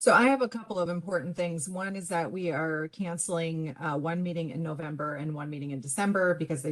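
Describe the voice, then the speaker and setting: A woman talks at a fairly quick pace. Her pitch is very deep and low, with ordinary variation. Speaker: commission staff director. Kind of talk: public meeting report. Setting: virtual meeting. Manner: fast.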